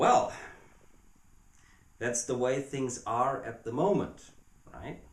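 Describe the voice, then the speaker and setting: A somewhat breathy man with a German accent speaks at a very slow pace with long, frequent pauses, and audible room echo surrounds him. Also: medium pitch for a man, ordinary pitch variation. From Germany. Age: 30s. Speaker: video blogger. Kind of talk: video response monologue. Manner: halting.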